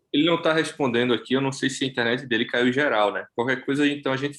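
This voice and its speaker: A man with a Recife accent talks very fast at a medium pitch, his intonation fairly even. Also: hardly any pauses. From Brazil, Recife. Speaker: study group participant. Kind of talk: casual chat.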